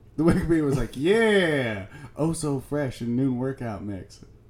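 A man with an unremarkable speaking voice talks at a fairly high pitch. His intonation is lively and his pace is moderate. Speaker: podcast co-host. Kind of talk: casual banter podcast. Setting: studio.

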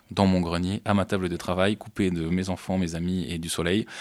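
Monotone, flat intonation at a moderate pace in a very clean recording with a silent background. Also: man. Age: 30s. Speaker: comic book artist. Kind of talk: interview. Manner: halting.

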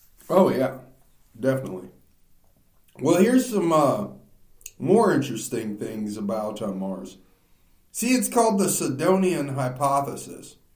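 A man's fairly high, fairly slow voice with very wide pitch swings and long, frequent pauses, amid audible room echo. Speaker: podcast host. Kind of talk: casual chat. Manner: loud.

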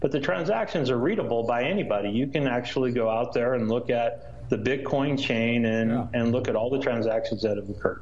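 Speaking at a fairly quick pace, a man leaves hardly any pauses. His pitch is medium with ordinary variation, and his loudness stays very even. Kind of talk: explanatory interview answer. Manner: measured, halting with fillers.

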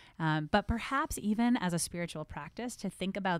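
On a very clean recording with a silent background and a dry, close sound without echo, a woman with an American accent speaks with ordinary pitch variation. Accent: New Jersey accent hidden well. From New Jersey. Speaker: rabbi. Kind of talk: casual chat.

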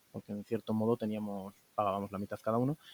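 A man's medium-pitched, unremarkable speaking voice with fairly even intonation and a dry, close sound with no echo. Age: 20s. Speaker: interviewee, young saver who bought a flat. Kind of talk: interview.

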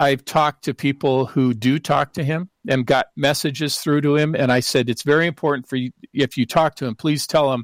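A man's plain, everyday voice, fairly high in pitch, at a moderate pace with fairly even intonation and hardly any pauses, in a very clean recording with a silent background and a dry, close sound with no echo. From Seattle, US Pacific Northwest. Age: 60s. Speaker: professor and researcher.

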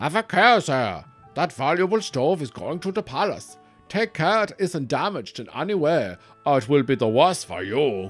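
Putting on a gruff character voice, a man talks at a moderate pace with a fairly high pitch and very wide pitch swings, faint music in the background. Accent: Austrian. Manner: gruff, stern warning.

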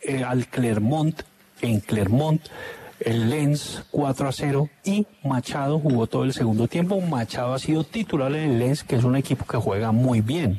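A man at a fairly slow pace and medium pitch, with ordinary pitch variation and very even loudness, the sound dry and close with no echo, plus noticeable background noise. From Zarzal, Valle del Cauca, Colombia. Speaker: sports radio commentator. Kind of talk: casual chat.

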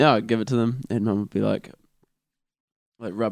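The speaker talks at a fairly quick pace with a New Zealand accent. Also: man. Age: 20s. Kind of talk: casual chat.

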